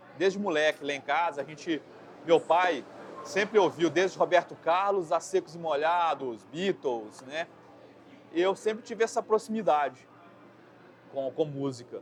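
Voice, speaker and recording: A man's high voice at a fairly slow pace, with ordinary pitch variation and long, frequent pauses. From Brazil, Belo Horizonte. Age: 40s. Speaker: metal vocalist and graphic designer. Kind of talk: interview. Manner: casual, halting with repetitions.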